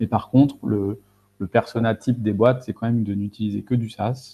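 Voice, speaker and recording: A man's medium-pitched voice at a fairly quick pace with fairly even intonation. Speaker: data and AI consultant. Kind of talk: webinar presentation. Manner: fast; hesitant, many fillers.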